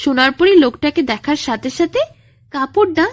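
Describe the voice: A woman is speaking. Her pace is moderate.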